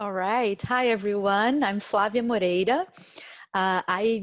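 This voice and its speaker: With a Brazilian Portuguese accent, a woman speaks at a moderate pace in a medium pitch, using ordinary pitch variation. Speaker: diversity director and career coach. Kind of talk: panel discussion. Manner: halting, many fillers.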